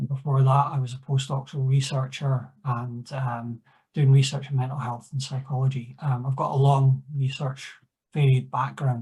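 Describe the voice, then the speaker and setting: This man has a medium-pitched, dark, mellow voice that is somewhat breathy, with a Scottish accent. He talks at a moderate pace with monotone, flat intonation. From Scotland. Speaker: clinical research assistant, discussant. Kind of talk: conference Q&A discussion. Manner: halting, many fillers.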